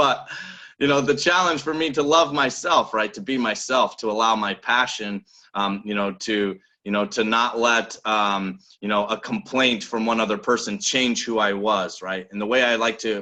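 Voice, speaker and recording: A loud man's voice with an American accent, medium pitch and a bright, sharp tone, ordinary pitch variation and moderate pace against a quiet background. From Nebraska. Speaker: business coach. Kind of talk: motivational talk. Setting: video call. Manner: animated.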